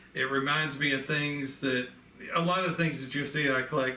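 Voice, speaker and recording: A man with a Southern accent speaks at a fairly high pitch in a monotone, flat intonation. Noticeable background noise and audible room echo come through. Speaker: antique ornament collector. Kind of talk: casual show-and-tell video. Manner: conversational, with fillers.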